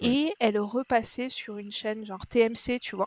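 A woman with an ordinary speaking voice and a fairly high pitch talks at a fairly slow pace. The sound is dry and close with no echo, on a very clean recording with a silent background. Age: 30s. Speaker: podcast listener. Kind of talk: casual chat.

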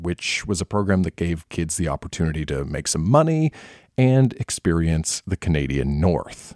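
A man's dark, mellow tone in a very clean recording with a silent background, the sound dry and close with no echo. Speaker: live show host. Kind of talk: hosting, introducing readers. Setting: live event, recorded in venue.

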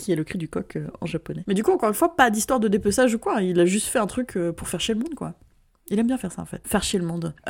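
Speaking at a very fast pace, a woman of medium pitch uses lively intonation with vocal fry. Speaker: podcast co-host. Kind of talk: casual chat. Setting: remote recording.

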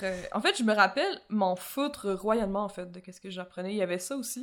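A woman with a Quebec accent speaks at a moderate pace and a medium pitch, on a very clean recording with a silent background. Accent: Québécois French. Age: 20s. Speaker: podcast co-host. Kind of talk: casual chat.

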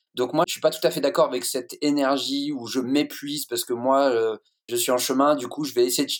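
Here a man talks at a fairly quick pace in an ordinary speaking voice, keeping his intonation fairly even. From France, Lorraine-Alsace. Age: 40s. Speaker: guest from men's groups. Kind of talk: group discussion.

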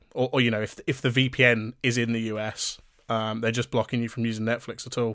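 Speaking at a very fast pace with a British accent, a man keeps a medium pitch in a monotone, flat intonation. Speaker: podcast co-host. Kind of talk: casual chat.

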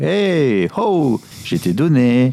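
With very wide pitch swings, a man speaks in a dark, mellow tone. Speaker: tech podcast co-host. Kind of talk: casual chat. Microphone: new equipment.

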